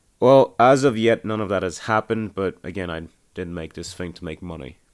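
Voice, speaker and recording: A man with an unremarkable speaking voice talks at a fairly quick pace and a fairly low pitch. The recording is very clean, with a silent background. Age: 20s. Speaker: independent podcast creator and aspiring filmmaker. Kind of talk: audio commentary monologue.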